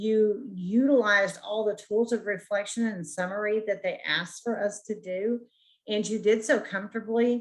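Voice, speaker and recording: A woman with a plain, everyday voice, fairly high pitch, fairly even intonation and a moderate pace. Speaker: counseling student. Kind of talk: peer review feedback. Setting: video call.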